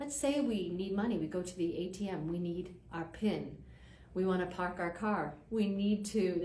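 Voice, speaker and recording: Over noticeable background noise, a woman with a Boston accent talks at a moderate pace, her medium pitch varying in an ordinary way. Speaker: presenter giving a talk. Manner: conversational, uses rhetorical questions.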